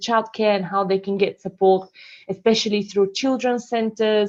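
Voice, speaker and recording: With a Bulgarian accent, a woman speaks at a fairly high pitch. Her intonation is fairly even, and the background is quiet. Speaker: council community support officer. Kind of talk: online meeting presentation. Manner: hesitant, many fillers.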